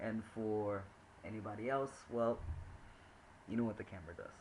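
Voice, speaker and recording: A man's somewhat breathy, fairly low voice with ordinary pitch variation. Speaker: vlogger and teacher. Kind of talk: casual video diary. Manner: halting, many fillers.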